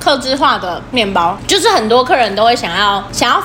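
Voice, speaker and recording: Loud and fairly high-pitched, a woman speaks with very wide pitch swings amid audible room echo and noticeable background noise. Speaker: podcast co-host, service worker. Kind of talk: casual chat. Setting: empty shop after hours.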